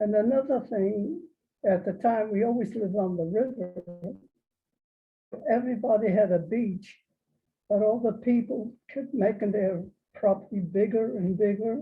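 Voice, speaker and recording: Music plays behind a woman with an American accent and a fairly high pitch. At a moderate pace, with ordinary pitch variation, she takes long, frequent pauses. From New York, Hudson Valley. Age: 80s+. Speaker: local elder interviewee. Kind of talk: oral history interview. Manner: halting.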